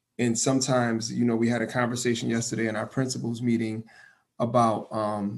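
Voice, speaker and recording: Here a man speaks at a moderate pace with an American accent. His pitch sits in the medium range. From Hartford, Connecticut. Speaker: radio host and school administrator. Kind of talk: interview. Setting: radio studio. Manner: enthusiastic.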